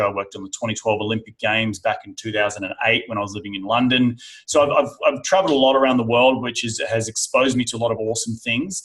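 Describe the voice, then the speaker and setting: Delivered in an Australian accent at a very fast pace with hardly any pauses, the speech has ordinary pitch variation. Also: man. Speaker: real estate investor. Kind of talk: interview. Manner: casual, repeats words.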